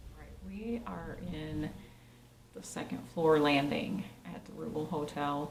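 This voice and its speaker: A woman speaks at a fairly slow pace with big swings in loudness, amid noticeable background noise and audible room echo. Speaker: paranormal investigator. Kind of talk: on-location investigation narration. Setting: hotel landing at night. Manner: quiet, hushed.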